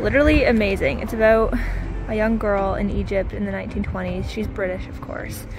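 Faint background music, a dry sound with no echo, and a moderate pace. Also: woman. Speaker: vlogger. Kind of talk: casual vlog chat. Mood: enthusiastic. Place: waterside. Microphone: phone near.

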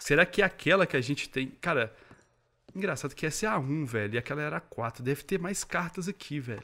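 A man with a fairly high pitch and bright, sharp tone races along at a very fast pace with lively intonation on a very clean recording with a silent background. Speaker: gaming YouTuber. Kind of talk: gameplay commentary. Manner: animated.

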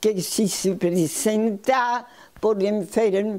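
Against a quiet background, a woman speaks very slowly in a dark, mellow tone with fairly even intonation. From Málaga, Spain. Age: 80s+. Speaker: nurse and midwife. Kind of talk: interview answer.

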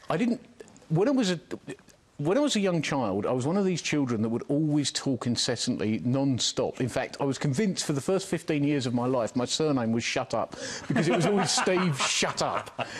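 Over noticeable background noise, a man speaks at a fairly high pitch with lively intonation. His loudness stays very even. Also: fairly quick pace. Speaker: world record fast talker. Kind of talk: TV interview. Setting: TV studio.

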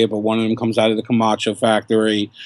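A man speaks against a quiet background. The sound is dry with no echo. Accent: New York. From New York. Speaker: cigar blogger and podcaster. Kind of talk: casual interview chat. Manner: talkative, rambling. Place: garden. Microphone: webcam.

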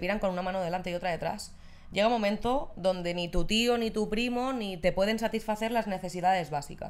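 The woman talks at a very fast pace. Her pitch varies in an ordinary way. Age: 30s. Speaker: social integration worker; podcast guest. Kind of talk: casual chat. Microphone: handheld.

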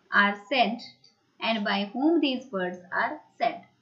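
A woman's high-pitched voice, full of lively intonation, comes with audible room echo. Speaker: school English teacher. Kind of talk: lecture.

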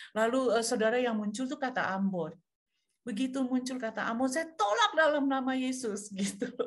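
Over a quiet background, the speaker talks at a moderate pace with ordinary pitch variation. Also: woman, high pitch for a woman. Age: 60s. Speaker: pastor. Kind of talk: sermon. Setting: video call. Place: home room. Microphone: webcam.

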